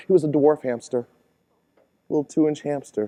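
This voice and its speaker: A man speaks at a fairly quick pace. His tone is dark and mellow. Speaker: keynote speaker. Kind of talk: live keynote speech. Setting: conference stage. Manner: humorous storytelling.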